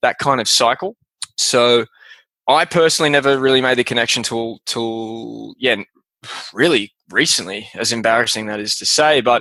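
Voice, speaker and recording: Man with an Australian accent, bright, sharp tone, moderate pace and ordinary pitch variation. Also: medium pitch for a man, dry, close sound with no echo. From Australia, Melbourne. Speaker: podcast host, guest. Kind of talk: interview. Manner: casual, hesitant with fillers.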